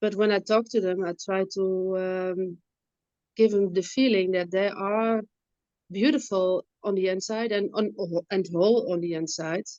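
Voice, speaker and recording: Her voice has a dark, mellow tone at a medium pitch. The woman speaks at a fairly slow pace with fairly even intonation. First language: not English. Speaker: webinar attendee, mental health support worker. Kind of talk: audience question. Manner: halting.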